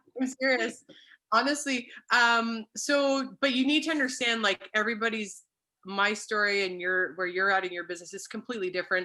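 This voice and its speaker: A woman with a Canadian accent, fairly high in pitch and bright, sharp in tone, at a fairly quick pace with ordinary pitch variation, on a very clean recording with a silent background. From Canada (British Columbia). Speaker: network marketing consultant. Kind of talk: casual chat. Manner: fast.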